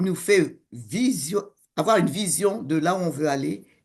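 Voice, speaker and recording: A woman's fairly low voice with ordinary pitch variation against a quiet background. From West Africa (Senegal and Togo). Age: 60s. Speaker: coach and co-author. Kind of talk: interview conversation.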